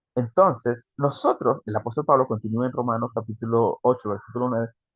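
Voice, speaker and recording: A man's somewhat breathy, animated voice at medium pitch. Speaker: preacher. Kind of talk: sermon. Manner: fast.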